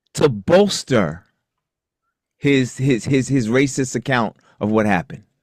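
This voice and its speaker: A man speaks at a medium pitch and a fairly slow pace, with long, frequent pauses. The sound is dry and close, with no echo. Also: lively intonation. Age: 60s. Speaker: retired law enforcement officer and trainer. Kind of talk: casual panel discussion. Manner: halting, many repeated words.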